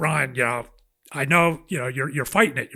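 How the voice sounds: A gravelly, put-on character voice speaks at a moderate pace. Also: man, fairly high pitch for a man.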